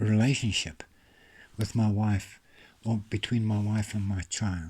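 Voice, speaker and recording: A somewhat breathy voice at a fairly slow pace. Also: man. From South Africa, Orange Free State. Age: 60s. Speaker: author and self-help vlogger. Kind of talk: motivational monologue.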